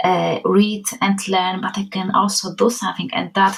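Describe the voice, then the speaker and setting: A woman speaks with a Polish accent. Her pace is moderate. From Poland. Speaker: children's book author. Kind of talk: interview conversation.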